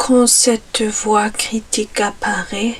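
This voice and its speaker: A soft-spoken voice with a non-native accent and a calm tone. Noticeable background noise runs underneath. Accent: learner's accent speaking French. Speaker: ASMR creator. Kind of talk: ASMR relaxation guide, soft-spoken stress relief. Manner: soft-spoken, calm, slow.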